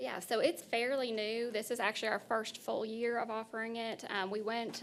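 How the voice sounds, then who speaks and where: A woman speaks with a fairly high pitch. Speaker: workforce board executive director. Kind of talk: board meeting presentation. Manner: fast.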